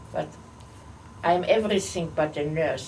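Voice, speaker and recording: A somewhat breathy woman's voice, fairly low in pitch with ordinary pitch variation, at a very slow pace amid audible room echo. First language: not English. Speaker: holocaust survivor. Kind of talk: oral history interview. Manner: halting.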